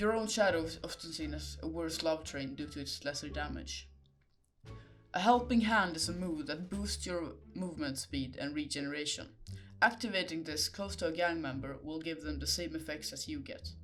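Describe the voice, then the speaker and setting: Music plays in the background as a man speaks with a non-native accent. He keeps a moderate pace. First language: not English. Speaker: gaming video creator. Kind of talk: game guide narration.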